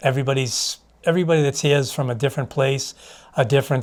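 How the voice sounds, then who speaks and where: A man speaks at a fairly quick pace and medium pitch, somewhat breathy, with fairly even intonation. The recording is very clean, with a silent background. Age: 60s. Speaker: addiction recovery client. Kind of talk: testimony. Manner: halting, many fillers.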